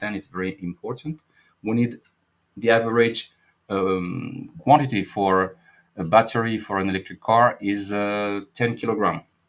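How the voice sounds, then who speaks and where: Against a quiet background, a man with a French accent speaks at a moderate pace and a fairly low pitch, with ordinary pitch variation. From France. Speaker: market analyst and trading educator. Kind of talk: live market analysis webinar. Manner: halting, with many fillers.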